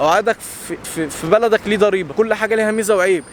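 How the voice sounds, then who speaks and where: Loud and high-pitched, a man talks at a very fast pace. Noticeable background noise sits behind him. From Egypt. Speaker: content creator. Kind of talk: casual vlog monologue.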